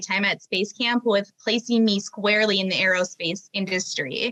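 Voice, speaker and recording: Her intonation fairly even, a woman of medium pitch speaks at a moderate pace. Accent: Minnesotan. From Minnesota. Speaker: aerospace professional. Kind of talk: interview.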